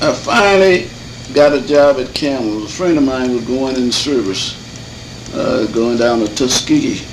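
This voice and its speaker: The speaker has an American accent, a moderate pace and ordinary pitch variation. Audible room echo and noticeable background noise are present. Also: man, medium pitch for a man. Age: 90s. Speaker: elder interviewee. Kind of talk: oral history interview. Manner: halting.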